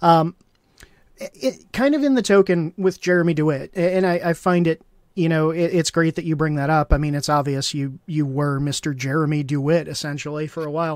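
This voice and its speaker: This man has an unremarkable speaking voice, pitched fairly high, and his intonation stays fairly even. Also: fairly quick pace. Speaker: livestream host. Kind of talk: interview, casual chat. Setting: live stream.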